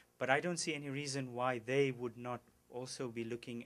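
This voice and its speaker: A man with a non-native accent. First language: not English. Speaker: agricultural policy expert. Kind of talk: press conference Q&A answer. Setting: news conference. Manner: halting, many repetitions.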